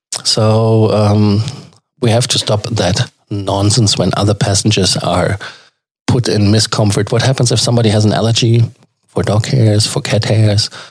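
Somewhat breathy, a man with a German accent talks at a moderate pace in a fairly low pitch. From Germany. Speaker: travel podcast host. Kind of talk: casual commentary. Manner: hesitant, many fillers.

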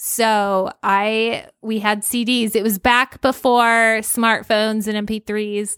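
A woman's fairly high, monotone voice with flat intonation, a very slow pace and hardly any pauses, in a very clean recording with a silent background and a dry, close sound with no echo. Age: 40s. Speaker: podcast co-host, homeschooling mother. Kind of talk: casual chat. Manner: laughs often.

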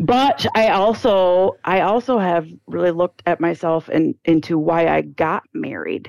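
With hardly any pauses, a woman speaks in a normal speaking voice at a fairly slow pace, her fairly low pitch showing ordinary pitch variation in a dry, close sound with no echo. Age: 40s. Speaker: counseling client. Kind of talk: personal testimony in counseling conversation.

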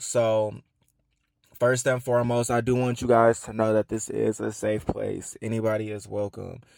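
A speaker with an American accent talks at a moderate pace in a monotone with flat intonation, on a very clean recording with a silent background. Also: man. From Atlanta, US South. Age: 20s. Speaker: podcast host. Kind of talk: casual monologue.

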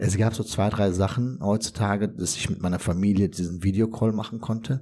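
Somewhat breathy and dark, mellow in tone, a man's fairly low voice moves at a moderate pace with fairly even intonation. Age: 40s. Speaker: former ICU patient. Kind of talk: testimony.

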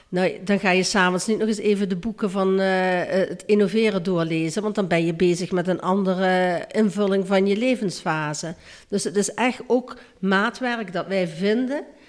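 A woman with an unremarkable speaking voice talks at a medium pitch and a moderate pace, with ordinary pitch variation. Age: 60s. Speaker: childcare worker. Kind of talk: interview.

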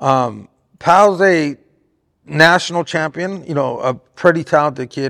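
A man with an American accent speaks at a fairly high pitch with ordinary pitch variation in an unremarkable speaking voice, recorded very cleanly over a silent background with a dry, close sound and no echo. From Southern California, Riverside area. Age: 40s. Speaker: boxing trainer and manager. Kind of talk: interview. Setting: boxing gym.

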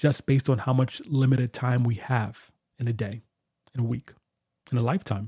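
A man speaks at medium pitch and a moderate pace, somewhat breathy, with a dark, mellow tone. The sound is dry and close, with no echo. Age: 30s. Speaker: podcast host and guitarist. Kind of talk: solo podcast monologue. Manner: casual, conversational with fillers.

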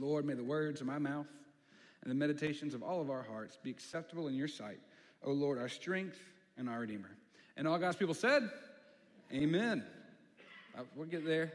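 A fairly high-pitched man talks at a fairly quick pace with ordinary pitch variation, broken by long, frequent pauses. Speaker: preacher. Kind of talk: sermon. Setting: church. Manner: fast talker; casual, conversational.

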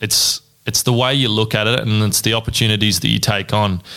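A man with an Australian accent, fairly low-pitched, bright and sharp in tone, at a moderate pace. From Australia, Ballarat, Victoria. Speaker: electrical apprentice. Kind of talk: casual interview.

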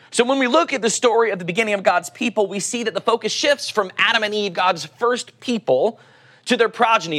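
The speaker has an Oklahoma accent. The pace is fairly quick. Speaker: pastor. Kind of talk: sermon.

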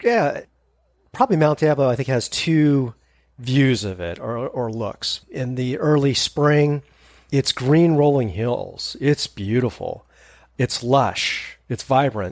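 The speaker talks very slowly with a West Coast accent and ordinary pitch variation. The recording is very clean, with a silent background. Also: man, fairly high pitch for a man. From Northern California, East Bay. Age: 50s. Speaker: hiker. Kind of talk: casual chat.

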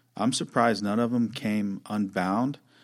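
Recorded very cleanly against a silent background, a man with an unremarkable speaking voice talks at a moderate pace, with fairly low pitch and fairly even intonation. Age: 30s. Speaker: former truck driver and business owner. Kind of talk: casual chat.

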